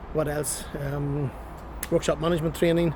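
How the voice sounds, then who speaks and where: A man with a Northern Irish accent speaks at a fairly quick pace with fairly even intonation amid noticeable background noise. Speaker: transport compliance business owner vlogger. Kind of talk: casual vlog. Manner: fast.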